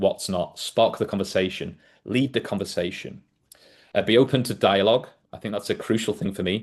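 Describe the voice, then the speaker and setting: Spoken at a fairly quick pace with a northwest English accent, the voice has ordinary pitch variation over a quiet background. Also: man, fairly low pitch for a man. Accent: northern English (northwest England). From northwest England, between Liverpool and Manchester. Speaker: leadership and workplace safety speaker. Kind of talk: podcast talk presenting a leadership method. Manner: hesitant fillers (um, uh).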